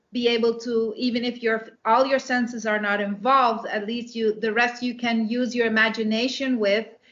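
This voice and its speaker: The speaker has a Dutch accent and monotone, flat intonation. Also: woman. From Netherlands, raised abroad from age five. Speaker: romance author and English teacher. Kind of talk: interview. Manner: hesitant, many fillers.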